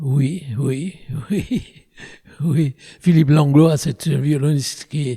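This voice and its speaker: Here a man speaks at a fairly slow pace in a fairly high voice. His tone is dark and mellow, and somewhat breathy. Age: 90s. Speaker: orchestra conductor. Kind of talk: interview. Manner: halting, with repetitions.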